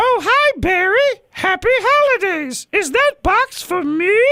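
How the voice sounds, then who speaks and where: At a fairly slow pace, a put-on character voice comes out at an extremely high pitch. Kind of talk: cheery, workplace-polite. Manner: exaggerated, put-on.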